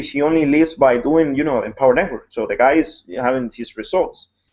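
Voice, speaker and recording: Fairly quick and fairly high-pitched, a man speaks with a Spanish accent. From Ecuador. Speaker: network marketing blogger. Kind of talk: casual chat. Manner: halting.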